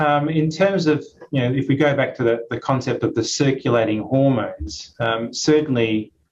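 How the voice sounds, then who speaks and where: This man's pitch moves in an ordinary way as he talks at a moderate pace. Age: 50s. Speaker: muscle research professor. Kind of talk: webinar Q&A answer. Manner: hesitant, many fillers.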